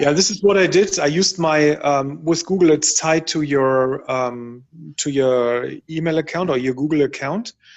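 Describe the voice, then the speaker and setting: A man with a German accent speaks at a fairly high pitch. He keeps a moderate pace with ordinary pitch variation. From Germany. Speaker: workshop participant. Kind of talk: workshop discussion. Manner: halting.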